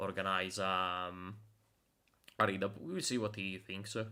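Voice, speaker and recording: Moving at a moderate pace, a man speaks in a bright, sharp tone. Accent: non-native. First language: Italian. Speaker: game developer streamer. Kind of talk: live stream dev commentary. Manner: halting, many fillers.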